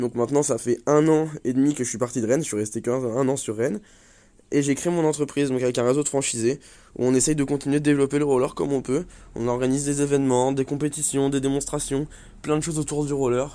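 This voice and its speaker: Against a silent background in a very clean recording, a man with a fairly high pitch speaks at a very fast pace with fairly even intonation. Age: 20s. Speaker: roller skating coach. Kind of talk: interview. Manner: hesitant with fillers.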